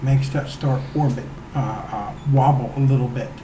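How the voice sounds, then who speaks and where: With audible room echo and noticeable background noise, a man talks fairly slowly at a fairly high pitch. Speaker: guest explaining science. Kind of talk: casual chat. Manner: stuttering at times.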